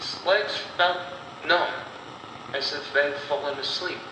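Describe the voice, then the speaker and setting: Against noticeable background noise, a man delivers his words at a very slow pace. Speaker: horror storyteller / audio story narrator. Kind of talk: horror audio story narration.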